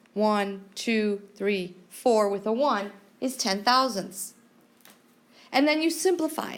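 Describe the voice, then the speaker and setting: A woman's fairly high voice at a very slow pace, with long, frequent pauses and audible room echo. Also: lively intonation. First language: not English. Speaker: math teacher. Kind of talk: classroom lecture.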